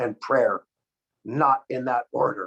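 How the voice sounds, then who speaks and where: A man with a normal speaking voice talks at a fairly slow pace and medium pitch. The sound is dry and close, with no echo. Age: 50s. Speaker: product formulator and company co-founder. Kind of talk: product presentation on a video call. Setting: video call.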